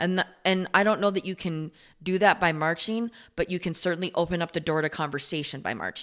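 A woman speaks at a fairly quick pace with a fairly low pitch and ordinary pitch variation. An ordinary speaking voice, on a very clean recording with a silent background. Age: 40s. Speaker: podcast guest, host's partner. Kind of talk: casual chat.

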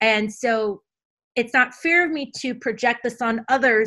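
On a very clean recording with a silent background, a woman speaks loudly with an American accent. Her fairly high voice has a bright, sharp tone and ordinary pitch variation. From Caribbean (US Virgin Islands). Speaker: podcast host. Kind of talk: interview conversation. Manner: loud, gregarious.

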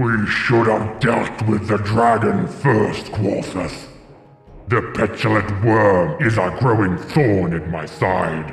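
A man booms in a put-on character voice at a fairly low pitch. He speaks at a very slow pace, with clear echo. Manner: imperious, irritated.

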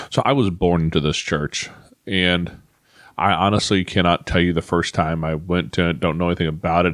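Fairly even in intonation, a man with a very deep, low voice talks at a moderate pace. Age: 40s. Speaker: podcast host. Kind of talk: personal monologue. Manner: halting.

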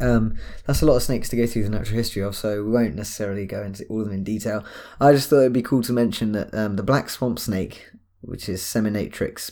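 A man talks with a British accent and ordinary pitch variation. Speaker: podcast co-host. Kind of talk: casual chat.

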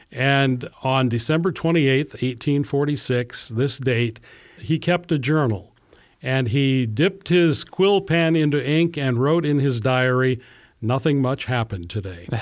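A man with an American accent, medium pitch, ordinary pitch variation, a fairly slow pace and very even loudness, on a very clean recording with a silent background. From US Midwest, Iowa. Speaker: pastor. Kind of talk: casual chat.

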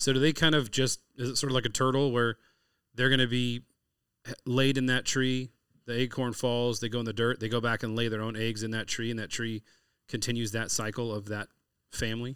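A man with an American accent talks at a fairly quick pace in a medium pitch. His intonation is monotone and flat, in a very clean recording with a silent background. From California. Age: 40s. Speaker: podcast host, chef and hunter. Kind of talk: casual interview chat.

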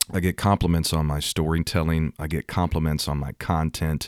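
A man with a very deep, low voice speaks at a moderate pace in a dry, close sound with no echo. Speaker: Pentecostal podcaster and preacher. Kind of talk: sermon-style podcast monologue. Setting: studio microphone. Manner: energetic, animated, fiery.

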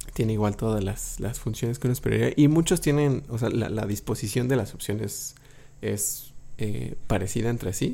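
Vocal fry runs through a dark, mellow tone delivered at a moderate pace with ordinary pitch variation. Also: man, medium pitch for a man. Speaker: podcast host. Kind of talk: casual chat.

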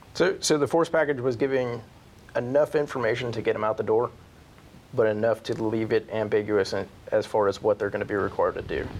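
In an American accent, a man speaks at a fairly quick pace with medium pitch, ordinary pitch variation and an ordinary speaking voice. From northeastern Pennsylvania. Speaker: army senior sergeant. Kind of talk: interview.

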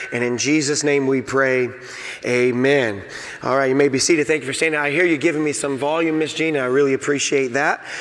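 There is noticeable background noise. The intonation stays fairly even. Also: man, fairly high pitch for a man. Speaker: pastor. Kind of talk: sermon. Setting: church. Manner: informal, conversational preacher.

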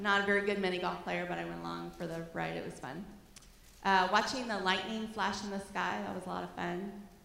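A woman speaks at a fairly quick pace, with audible room echo and noticeable background noise. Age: 50s. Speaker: schoolteacher giving a church talk. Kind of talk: church talk with photos. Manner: casual, conversational.

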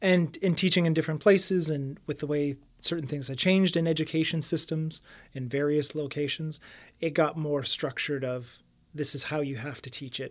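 In a very clean recording with a silent background, a man with a Canadian accent speaks at a moderate pace in a normal speaking voice, his pitch fairly high and his intonation fairly even. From Windsor, Ontario, Canada. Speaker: real estate agent. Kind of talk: casual interview.

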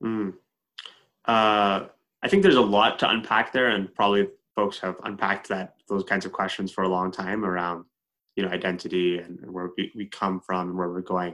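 A man with a Canadian accent speaks at a moderate pace, his very deep, low pitch held in a monotone, flat intonation. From Edmonton, Canada. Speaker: co-host, organization CEO.

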